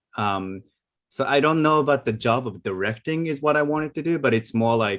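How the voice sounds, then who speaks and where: The speaker has a non-native accent and talks at a fairly quick pace. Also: man. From Asia. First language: not English. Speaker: animation film director. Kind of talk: panel discussion. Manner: hesitant, many fillers.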